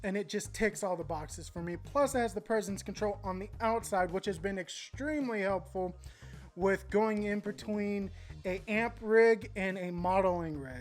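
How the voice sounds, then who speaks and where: An enthusiastic, animated woman at a medium pitch, with ordinary pitch variation and music in the background. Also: moderate pace. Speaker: guitar gear youtuber. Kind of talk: gear review talk to camera.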